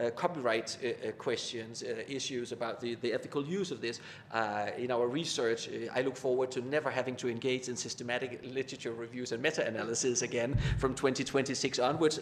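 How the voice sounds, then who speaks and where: A man at medium pitch, fairly quick, with fairly even intonation and hardly any pauses. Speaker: academic speaker on communication research. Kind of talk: panel discussion. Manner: fast; halting with many repetitions.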